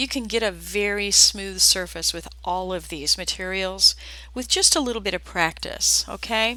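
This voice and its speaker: With an American accent, a woman speaks at a moderate pace in a very clean recording with a silent background. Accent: slight southern accent, surfaces at times. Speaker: art teacher. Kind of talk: live tutorial. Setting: live video stream. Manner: casual, chatty.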